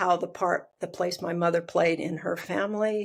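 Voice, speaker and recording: A woman's fairly low-pitched voice, monotone and flat, at a moderate pace. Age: 70s. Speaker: family consultant, trained clinical social worker. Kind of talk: podcast interview. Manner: halting.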